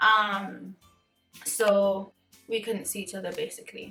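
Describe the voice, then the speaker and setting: Music plays in the background as a woman speaks. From Cayman Islands. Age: 20s. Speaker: beauty vlogger. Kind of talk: casual chat to camera while doing makeup.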